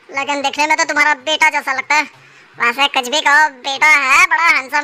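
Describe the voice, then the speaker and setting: A woman does a cartoonish character voice, high-pitched and monotone with flat intonation, at a fairly quick pace. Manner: blustering, rough street talk.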